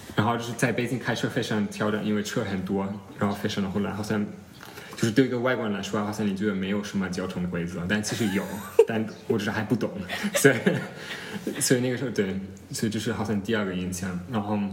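Over noticeable background noise and audible room echo, a man with a non-native accent talks very fast at a fairly low pitch with fairly even intonation. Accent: foreign accent in Chinese. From Germany. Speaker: former exchange student in China. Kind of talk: casual interview chat. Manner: halting, many fillers.

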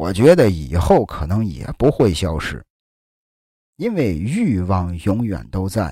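On a very clean recording with a silent background, a man with a very deep, low, dark and mellow voice, somewhat breathy, speaks at a very slow pace with very wide pitch swings. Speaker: podcast host. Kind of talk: storytelling history narration. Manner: casual, filler-heavy (啊, 这个).

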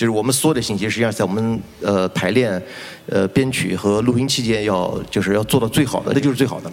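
A man speaks at a very fast pace in a fairly low voice with ordinary pitch variation. Noticeable background noise sits behind him. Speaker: rock musician. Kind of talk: panel discussion. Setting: stage with audience.

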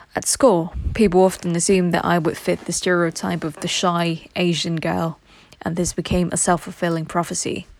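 A woman with a British accent, fairly low pitch and monotone, flat intonation. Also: moderate pace. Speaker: reader of English texts for learners. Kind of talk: reading aloud.

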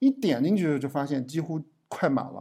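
Everything is very clean, and the background is silent. The talking proceeds at a moderate speed. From Yangquan, Shanxi, China. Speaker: podcast host. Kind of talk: casual chat.

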